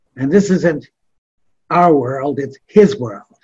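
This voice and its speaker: A somewhat breathy male voice, fairly high in pitch, with lively intonation. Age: 80s+. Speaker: missionary. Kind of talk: interview storytelling. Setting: radio studio.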